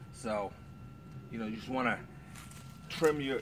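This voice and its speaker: Medium pitch for a man, with ordinary pitch variation. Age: 50s. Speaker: home gardener vlogger. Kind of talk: casual tutorial. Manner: halting, many fillers.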